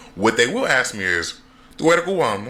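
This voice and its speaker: A man's voice swings very widely in pitch, with noticeable background noise behind it. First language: not Spanish; learned Brazilian Portuguese first. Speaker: content creator. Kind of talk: casual vlog talk, English and Spanish.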